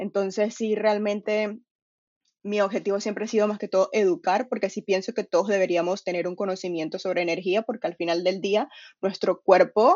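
A woman's medium-pitched voice in a Venezuelan accent, with fairly even intonation at a moderate pace. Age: 20s. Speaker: nutrition coach and personal trainer. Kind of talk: casual chat.

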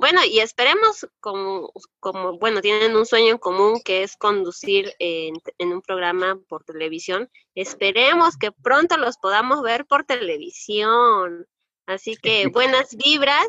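A woman speaks with a fairly high pitch and very wide pitch swings. Her loudness rises and falls in big swings. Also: fairly slow pace. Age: young. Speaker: podcast host. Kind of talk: interview hosting. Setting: video call.

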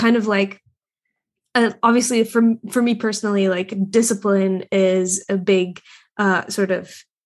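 Against a quiet background, a woman talks at a moderate pace. Her medium-pitched voice is monotone and flat. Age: 20s. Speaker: podcast host, artist. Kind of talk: casual chat; scripted ad read. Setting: video call.

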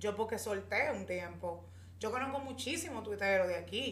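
Noticeable background noise is present. A woman speaks at a moderate pace over it. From Dominican Republic, Santo Domingo. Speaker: podcast co-host, communicator. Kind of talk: casual chat.

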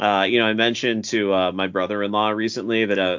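This man has an unremarkable speaking voice, fairly low in pitch. He talks at a fairly quick pace with fairly even intonation. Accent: American. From Massachusetts. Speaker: teacher. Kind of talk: casual chat.

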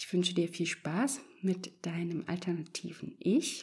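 Soothing and gentle in tone, the somewhat breathy voice moves at a very slow pace. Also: woman. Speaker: podcast host and meditation guide. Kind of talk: guided meditation, calm hypnotic instructions. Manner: slow, soft, soothing, gentle pacing with pauses; warm, reassuring, encouraging.

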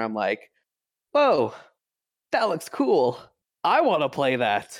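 Here a man speaks at a moderate pace with a medium pitch and lively intonation. The recording is very clean, with a silent background. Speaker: Dungeons and Dragons game master. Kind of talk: casual chat.

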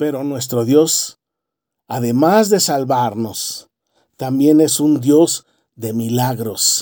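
Pitch moves with ordinary variation. The tone is warm and solemn. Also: man. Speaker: preacher. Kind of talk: sermon. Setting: church. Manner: fervent, earnest pulpit delivery with emphatic repetition; warm, exhorting, measured and solemn.

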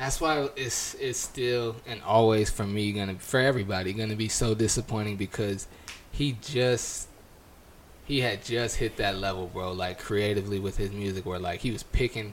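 Speaking at a moderate pace, a man uses a plain, everyday voice of medium pitch with fairly even intonation. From California. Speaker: podcast co-host. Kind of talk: casual chat.

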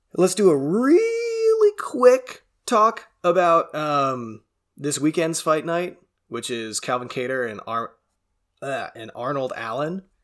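A man speaks very slowly at a fairly high pitch. His pitch swings very widely, and his loudness rises and falls in big swings. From Canada. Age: 20s. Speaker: MMA podcast host. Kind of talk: casual solo commentary. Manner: casual, stumbling.

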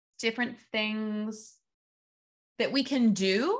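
A woman speaks at a very slow pace with a Midwestern American accent. Her pitch varies in an ordinary way over a quiet background. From US Midwest (Evansville, Indiana). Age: 20s. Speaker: podcast host, astrologer and dance teacher. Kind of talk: casual solo monologue. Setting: video recording with screen share.

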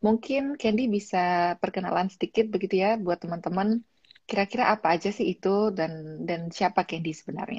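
A woman talks at a fairly quick pace with hardly any pauses, her medium-pitched voice somewhat breathy with ordinary pitch variation, in a dry, close sound with no echo. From Malang, East Java, Indonesia. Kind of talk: casual interview.

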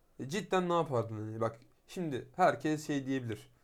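On a very clean recording with a silent background, a man with an ordinary speaking voice talks at a fairly quick pace with lively intonation. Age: 20s. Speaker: podcast co-host. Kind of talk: casual chat.

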